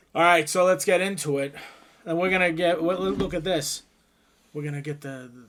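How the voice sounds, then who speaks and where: A loud man with a high pitch speaks with fairly even intonation and long, frequent pauses. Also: fairly quick pace. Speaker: gaming YouTuber. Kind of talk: casual chat.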